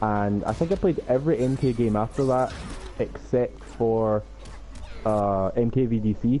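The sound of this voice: With a Scottish accent, a man speaks at a fairly slow pace in a dark, mellow tone. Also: medium pitch for a man, ordinary pitch variation.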